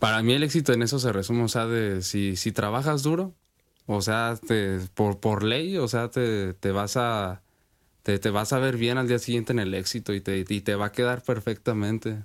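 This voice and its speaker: The speaker uses a normal speaking voice at a moderate pace with ordinary pitch variation. The recording is very clean, with a silent background. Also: man, medium pitch for a man. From Sinaloa, Mexico. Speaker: rapper. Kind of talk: interview.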